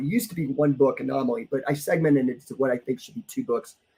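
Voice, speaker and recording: The voice is somewhat breathy with a dark, mellow tone and very wide pitch swings. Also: man. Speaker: podcast host and life coach. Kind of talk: solo livestream podcast talk. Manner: casual, filler-heavy.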